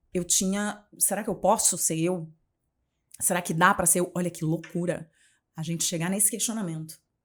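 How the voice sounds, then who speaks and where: Speaking at a moderate pace, a woman uses a fairly low voice and an animated tone, with long, frequent pauses. The recording is very clean, with a silent background. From Rio de Janeiro, Brazil. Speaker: journalist and communication mentor. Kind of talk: podcast interview.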